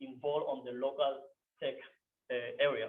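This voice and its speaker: A man with a non-native accent at a moderate pace, with fairly even intonation. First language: not English. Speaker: software developer, meetup speaker. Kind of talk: meetup talk. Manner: halting.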